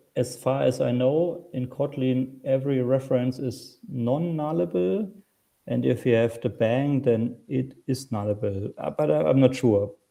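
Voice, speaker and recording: Speaking at a fairly slow pace, a man talks with a German accent. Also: medium pitch for a man, ordinary pitch variation. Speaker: software developer and conference speaker. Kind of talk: Q&A after a technical talk. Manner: halting.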